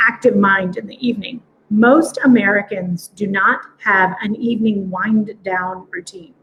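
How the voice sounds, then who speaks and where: A woman is talking, her voice somewhat breathy. Her pitch sits fairly high. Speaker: quantum biofeedback practitioner. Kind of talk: live stream demo talk. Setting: live video stream. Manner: fast.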